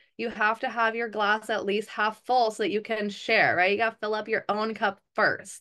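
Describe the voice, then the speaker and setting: A woman's bright, sharp voice at a fairly high pitch, monotone and flat, with hardly any pauses. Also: moderate pace, quiet background. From Hawaii. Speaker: network marketing council member and call host; wellness business host. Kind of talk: group video call presentation. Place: home room. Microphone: webcam.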